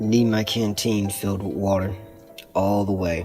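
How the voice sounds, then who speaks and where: Over clear background music, a man uses a put-on character voice in a fairly low pitch. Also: moderate pace. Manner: terse.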